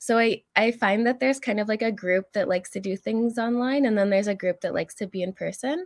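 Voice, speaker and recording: Words come at a very fast pace in a Canadian accent, with hardly any pauses. Pitch varies in an ordinary way. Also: woman, fairly high pitch for a woman. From northern Alberta, Canada. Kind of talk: interview.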